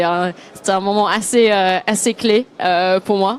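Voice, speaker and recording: A woman's medium-pitched voice in a flat monotone. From Australia. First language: English (speaking French). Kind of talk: casual interview. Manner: halting.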